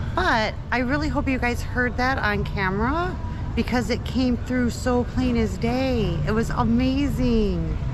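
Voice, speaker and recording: Noticeable background noise and audible room echo surround a woman's voice. She talks at a fairly slow pace with very even loudness. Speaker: travel vlogger. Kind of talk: casual chat.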